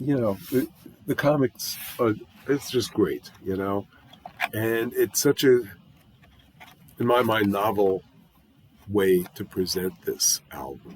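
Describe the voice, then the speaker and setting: Against noticeable background noise, a man with a medium-pitched voice and ordinary pitch variation talks very slowly, with long, frequent pauses. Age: 60s. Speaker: music YouTuber reviewing albums. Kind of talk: casual album review monologue. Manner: conversational with frequent fillers.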